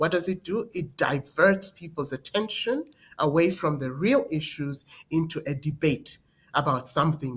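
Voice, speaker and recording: Somewhat breathy, a woman with a very deep, low pitch speaks at a moderate pace with lively intonation. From Zambia. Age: 60s. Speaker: presidential candidate. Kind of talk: political interview. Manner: emphatic.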